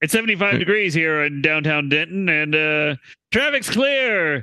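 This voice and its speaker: Using a put-on character voice, a man speaks with lively intonation. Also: fairly high pitch for a man, moderate pace, very even loudness. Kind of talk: mid-century broadcast delivery. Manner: clipped, formal, brisk.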